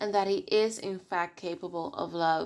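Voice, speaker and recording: A woman talks at a moderate pace. Her pitch is medium. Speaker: video essayist. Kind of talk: video essay commentary. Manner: halting at times.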